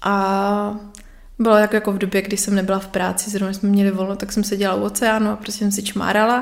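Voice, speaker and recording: Her intonation is monotone and flat. This woman speaks at a medium pitch. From Moravia, Czech Republic (Nový Jičín). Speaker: artist and graphic designer. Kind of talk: casual interview chat. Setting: home living room.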